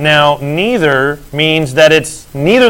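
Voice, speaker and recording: At a fairly slow pace, a man with fairly high pitch for a man speaks in an unremarkable speaking voice. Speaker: math teacher. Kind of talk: lecture.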